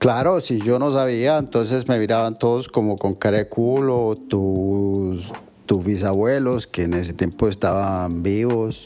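Fairly low in pitch and dark and mellow in tone, a man speaks at a fairly slow pace with hardly any pauses and ordinary pitch variation. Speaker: guest, host's father. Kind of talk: casual chat.

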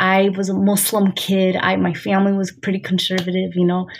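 A medium-pitched woman with an American accent, monotone and flat, amid noticeable background noise. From United States, Syrian father. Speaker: poet. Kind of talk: casual interview.

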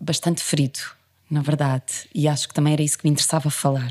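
Her dark, mellow tone stays on fairly even intonation as the woman speaks. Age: 40s. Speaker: actress and theatre director. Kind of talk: interview.

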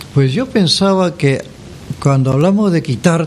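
Against noticeable background noise, a man talks at a fairly slow pace with a high pitch and ordinary pitch variation. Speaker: radio host. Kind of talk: radio presenting. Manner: warm, announcer-style.

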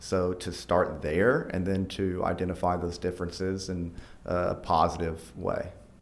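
Heard with audible room echo, a man with an American accent talks fairly slowly in a very deep, low voice with fairly even intonation. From Arkansas, US South. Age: 30s. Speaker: nonprofit team member. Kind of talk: podcast interview.

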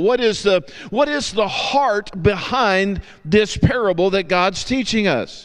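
A man with a Southern US accent talks at a fairly slow pace in a high voice. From US South. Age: 50s. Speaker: guest preacher. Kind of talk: sermon.

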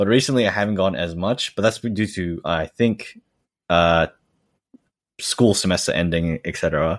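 A man with a very deep, low pitch speaks in an Australian accent at a moderate pace, with long, frequent pauses. The recording is very clean, with a silent background and a dry, close sound with no echo. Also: ordinary pitch variation. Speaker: assistant language teacher. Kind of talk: casual interview chat.

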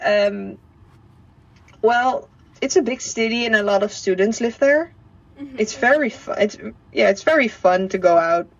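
Speaking with a Dutch accent at a moderate pace, a woman uses lively intonation and takes long, frequent pauses. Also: fairly high pitch for a woman. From southern Netherlands. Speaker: former au pair. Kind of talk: interview. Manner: halting.

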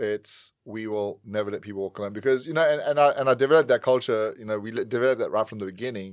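Heard in a very clean recording with a silent background, a man at medium pitch races along at a very fast pace with ordinary pitch variation. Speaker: podcast co-host. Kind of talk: casual podcast chat. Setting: studio.

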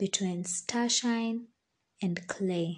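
Fairly even intonation at a very slow pace. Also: woman. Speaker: podcaster. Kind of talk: poetry reading. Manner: measured, reflective.

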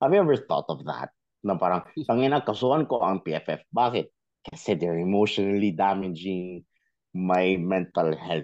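Moderate pace with lively intonation. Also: man, very deep, low pitch for a man. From Philippines. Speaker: football podcast guest. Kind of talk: casual chat.

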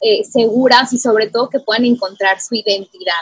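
The woman's fairly high voice has a dry, close sound with no echo. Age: 30s. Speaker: podcast host. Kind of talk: casual chat.

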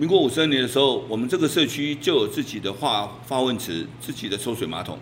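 A man talks at a very fast pace with lively intonation and vocal fry. His pitch sits in the medium range. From Taiwan, Taipei Wanhua. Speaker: neighborhood chief. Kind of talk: interview. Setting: on location in community.

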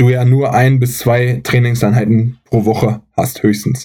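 A man's somewhat breathy, dark, mellow voice at a medium pitch, delivered at a very slow pace. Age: 30s. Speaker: athletic trainer and physiotherapist. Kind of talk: casual chat.

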